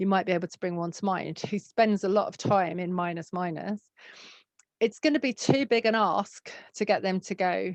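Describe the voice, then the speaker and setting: Against a quiet background, a woman with a southern English accent speaks in a dry, close sound with no echo, her loudness swinging widely. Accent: southern English long A sounds. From southern England. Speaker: psychotherapy trainer. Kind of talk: recorded online training session. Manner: hesitant, lots of fillers.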